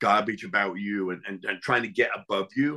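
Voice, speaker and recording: Speaking with an English accent, a man has a fairly low pitch, a bright, sharp tone and ordinary pitch variation against a quiet background. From England. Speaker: chef and Navy veteran. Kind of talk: interview conversation.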